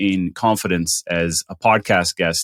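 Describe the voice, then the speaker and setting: A man's voice, dry and close, with no echo. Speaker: podcast host. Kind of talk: interview conversation. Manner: fast.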